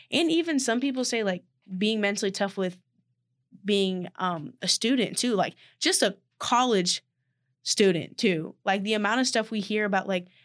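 A plain, everyday voice: a woman with fairly high pitch, ordinary pitch variation and a moderate pace over a quiet background. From Texas, Austin. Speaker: college athlete and podcast co-host. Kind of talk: casual chat.

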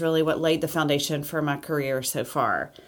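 On a very clean recording with a silent background, a woman speaks with an Alabama accent. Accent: Southern US (Alabama). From US South, Alabama. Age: 40s. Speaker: podcast host, interior designer and entrepreneur. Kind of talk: casual monologue podcast intro.

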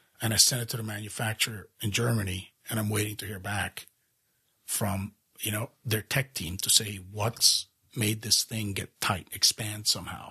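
A man talks at a moderate pace in a flat monotone, his tone bright and sharp, the sound dry and close with no echo. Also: fairly low pitch for a man. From Europe, raised across several countries. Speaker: fly reel company founder. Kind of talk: casual interview.

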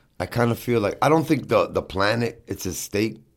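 Moderately paced male speech with ordinary pitch variation, on a very clean recording with a silent background. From New York (Brooklyn). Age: 50s. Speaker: hardcore band vocalist. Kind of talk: casual chat.

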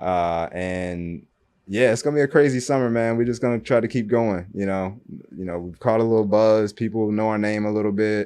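A plain, everyday voice from a man with an American accent, fairly low in pitch with ordinary pitch variation, at a fairly quick pace over a quiet background. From Kentucky (Louisville), later Michigan near Detroit. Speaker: entrepreneur, sports media business owner. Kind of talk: casual interview chat.

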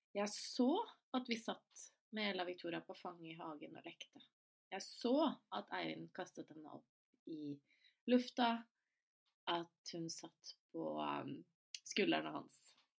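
A woman's very slow speech, with long, frequent pauses and big swings in loudness. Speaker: podcast host. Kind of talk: solo podcast monologue.

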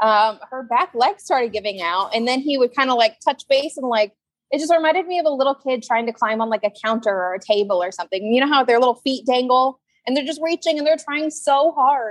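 A woman talks at a fairly quick pace with lively intonation. Her pitch is high. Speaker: zookeeper. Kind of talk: casual interview chat.

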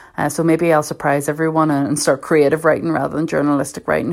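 With a Belfast accent, a woman speaks in a very deep, low pitch and fairly even intonation. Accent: Belfast Northern Irish. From Northern Ireland, North Belfast. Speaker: journalist. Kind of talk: personal reflection talk.

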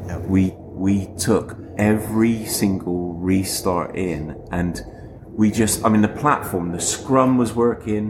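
The speech comes at a very slow pace with ordinary pitch variation amid noticeable background noise. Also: man, fairly low pitch for a man. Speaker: podcast co-host. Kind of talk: casual chat.

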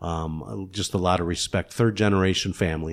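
On a very clean recording with a silent background, a man with an American accent talks at a fairly quick pace in a very deep, low pitch and fairly even intonation. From Kenosha, Wisconsin. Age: 60s. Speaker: funeral home owner and former city councilman. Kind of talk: casual interview.

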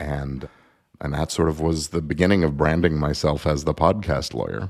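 This man's pitch is very deep and low. Vocal fry runs through his voice. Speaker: entertainment lawyer and podcaster. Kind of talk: casual interview.

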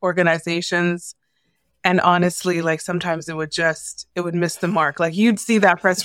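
A woman with a Canadian accent talks at a moderate pace in a normal speaking voice, fairly low in pitch, in a very clean recording with a silent background. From Canada, Toronto. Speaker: former journalist, media consultant. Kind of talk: interview conversation.

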